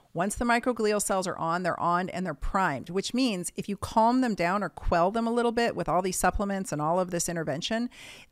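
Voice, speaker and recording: A woman talks in an unremarkable speaking voice at medium pitch and a moderate pace, with ordinary pitch variation. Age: 50s. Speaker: doctor. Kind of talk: casual interview. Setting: video call.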